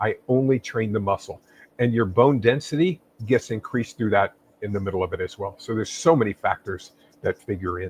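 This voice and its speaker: A somewhat breathy man speaks at a fairly quick pace with a medium pitch. His pitch variation is ordinary, and the sound is dry and close with no echo. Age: 60s. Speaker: fitness expert and author. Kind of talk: interview.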